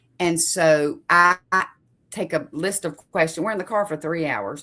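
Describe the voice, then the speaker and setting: Loud and bright with a sharp tone, the voice moves at a moderate pace with lively intonation. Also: woman. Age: middle-aged. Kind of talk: casual faith conversation.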